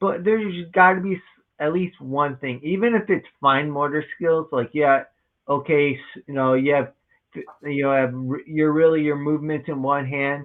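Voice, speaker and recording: A man's fairly high voice at a moderate pace, an ordinary speaking voice with ordinary pitch variation. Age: 30s. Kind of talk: interview conversation.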